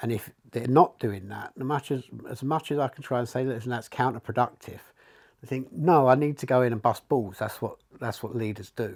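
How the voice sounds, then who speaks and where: A man at medium pitch and a fairly quick pace, on a very clean recording with a silent background. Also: ordinary pitch variation. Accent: East London. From England, East London. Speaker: leadership coach. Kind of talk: casual chat.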